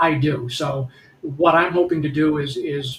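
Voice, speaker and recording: With an American accent, the speaker sounds somewhat breathy. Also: man. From Detroit, Michigan. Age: 60s. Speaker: congressional candidate. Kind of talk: political talk show discussion. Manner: halting, many repetitions and fillers.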